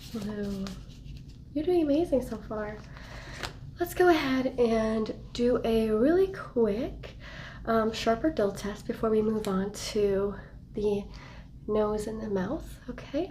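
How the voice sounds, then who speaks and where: Noticeable background noise surrounds a woman speaking at a very slow pace. Her intonation is lively, with long, frequent pauses. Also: fairly high pitch for a woman. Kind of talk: medical exam roleplay, ASMR. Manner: soft-spoken, gentle, encouraging.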